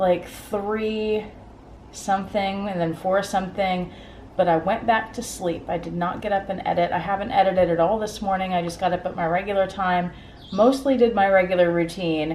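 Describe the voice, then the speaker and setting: Audible room echo surrounds the voice. A woman speaks at medium pitch and a moderate pace. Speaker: lifestyle vlogger; teacher. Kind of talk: casual vlog. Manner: calm, somewhat monotone; calm, not bubbly.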